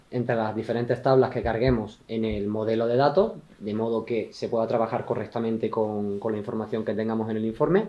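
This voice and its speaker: With an Andalusian accent, a man of medium pitch talks at a fairly quick pace amid noticeable background noise. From Andalusia, southern Spain. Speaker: IT consultant presenter. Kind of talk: tech talk presentation. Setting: meetup with live audience. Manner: fast.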